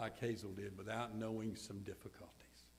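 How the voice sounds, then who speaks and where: A man speaks with a Southern US accent at a moderate pace. Audible room echo surrounds his voice. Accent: Southern US (Georgia). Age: 70s. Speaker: pastor. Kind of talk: funeral sermon.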